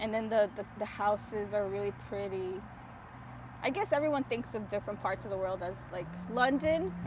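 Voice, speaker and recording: A woman in a New York accent, with ordinary pitch variation. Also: medium pitch for a woman, moderate pace. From New York City. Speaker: podcast host. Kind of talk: casual chat. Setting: outdoors at the beach.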